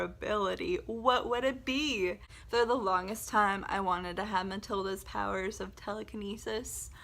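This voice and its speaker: Animated in tone, a woman with an American accent talks with vocal fry. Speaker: book video creator. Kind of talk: casual vlog talk.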